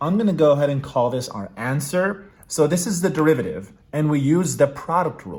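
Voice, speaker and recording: With hardly any pauses, a man talks in a fairly high, somewhat breathy voice with lively intonation. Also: fairly quick pace. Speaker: math tutor. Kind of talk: tutorial. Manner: casual, thinking aloud with fillers.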